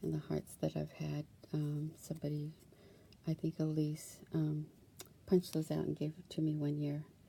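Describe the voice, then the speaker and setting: A soft-spoken woman is talking. Her speech has long, frequent pauses. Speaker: crafting YouTuber. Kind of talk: casual craft show-and-tell. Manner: hesitant, many fillers.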